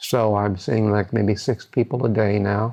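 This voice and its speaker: The speaker is male. His accent is Midwestern American. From US Midwest, Decatur, Illinois. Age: 70s. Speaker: psychologist. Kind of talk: interview testimony. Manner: halting, many fillers and repetitions.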